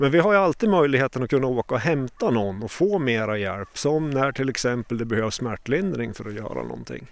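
With a plain, everyday voice, a man of medium pitch speaks fairly quickly with lively intonation and hardly any pauses. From Sweden, Åre, Jämtland. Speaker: paramedic and mountain rescuer. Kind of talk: interview.

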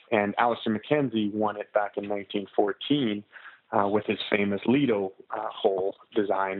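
Speaking with a Canadian accent, a man keeps his intonation fairly even. His pace is fairly slow. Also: fairly low pitch for a man. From Canada, Alberta (Canmore). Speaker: golf course architect. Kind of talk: casual interview. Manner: hesitant, with many fillers and repetitions.

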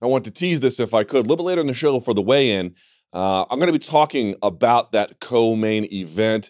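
On a very clean recording with a silent background and a dry, close sound with no echo, a man with a plain, everyday voice talks fairly quickly at a medium pitch with lively intonation. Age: 30s. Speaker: MMA podcast host. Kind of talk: casual chat. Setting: studio.

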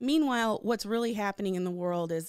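Dry and close with no echo, this very clean recording over a silent background captures a woman with ordinary pitch variation. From Michigan, Detroit area. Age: 40s. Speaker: comedian. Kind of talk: casual chat.

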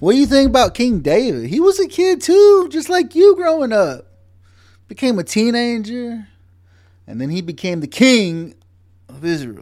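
A man with an American accent speaks in an animated tone at an extremely high pitch, at a moderate pace with long, frequent pauses. His pitch swings very widely and his loudness varies greatly, in a very clean recording with a silent background. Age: 40s. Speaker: podcast host and Marine veteran. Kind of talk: casual book discussion.

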